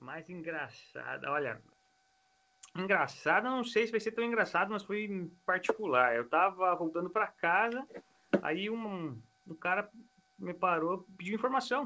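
High, bright and sharp male voice, raised and projected, with lively intonation, a fairly slow pace and long, frequent pauses. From Brazil then Italy from age 12. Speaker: Brazilian emigrant. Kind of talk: casual chat.

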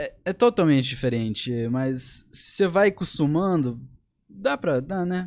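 On a very clean recording with a silent background, a man with an English accent talks at a fairly slow pace in a high voice, his pitch swinging very widely. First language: English (speaking Portuguese). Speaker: young fighter. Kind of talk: casual chat.

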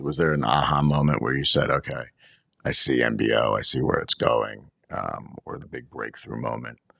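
Speaking at a moderate pace, a man's voice swings a lot in loudness. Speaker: podcast host. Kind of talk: casual interview chat. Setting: studio.

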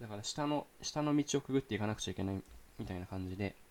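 The man rattles along at a very fast pace. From Saitama, Japan. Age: young. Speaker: podcast host, university student. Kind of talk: casual solo talk. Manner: fast, run-on.

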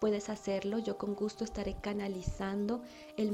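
A woman holds her intonation fairly even over noticeable background noise. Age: 30s. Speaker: spiritual podcast host, angel channeler. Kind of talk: spiritual monologue.

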